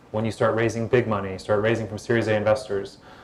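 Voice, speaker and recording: Speaking very fast at a medium pitch, a man is heard over noticeable background noise. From United States. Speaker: former tech executive and startup investor. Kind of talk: panel Q&A at live event. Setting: stage with audience. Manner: soothing.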